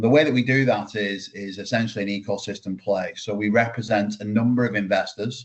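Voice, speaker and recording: A man with a British accent speaks in a fairly low pitch. His intonation is monotone and flat. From UK. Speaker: startup founder. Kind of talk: webinar presentation.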